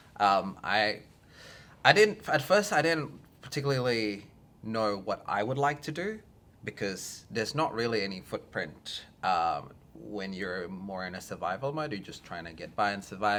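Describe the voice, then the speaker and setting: A man with an Australian accent speaks at a moderate pace and a fairly low pitch. His tone is bright and sharp, with lively intonation and big swings in loudness. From Australia, arrived from Indonesia at ten. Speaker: filmmaker. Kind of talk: interview. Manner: halting, many fillers.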